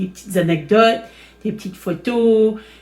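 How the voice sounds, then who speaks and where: The woman's voice is somewhat breathy. She talks very slowly. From Acadian Nova Scotia (Chéticamp, Cape Breton). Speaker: crafting video host. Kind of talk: tutorial. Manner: hesitant, many fillers.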